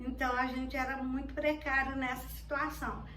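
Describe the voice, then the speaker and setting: A woman talks at a moderate pace in a space with audible room echo. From Minas Gerais, Brazil. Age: 60s. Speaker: grandmother interviewee. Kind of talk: interview testimony. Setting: at home. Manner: halting, with fillers.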